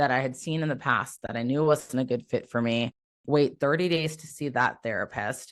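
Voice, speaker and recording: The speaker has an American accent and talks at a moderate pace. The background is quiet. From US Midwest, Iowa. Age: 30s. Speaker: navy veteran and military mental health advocate. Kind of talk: podcast interview.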